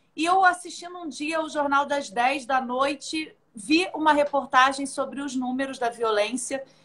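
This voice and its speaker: Speaking fairly slowly in a Rio de Janeiro accent, a woman uses a high-pitched voice that is bright and sharp in tone. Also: ordinary pitch variation. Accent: carioca. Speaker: judge. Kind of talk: live online interview.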